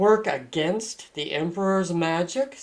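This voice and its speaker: This is a put-on character voice at a middle pitch. The pace is fairly slow. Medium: read story. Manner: low, grave, authoritative.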